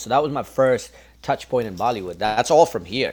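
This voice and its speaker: On a very clean recording, silent background, a man with a Toronto accent talks at a very fast pace with ordinary pitch variation. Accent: Canadian (Toronto multicultural). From Canada, Scarborough (Toronto). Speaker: music composer and singer. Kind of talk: casual interview.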